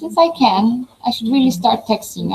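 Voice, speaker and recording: Speaking at a fairly quick pace, a woman has a non-native accent. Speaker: professor. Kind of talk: online webinar presentation.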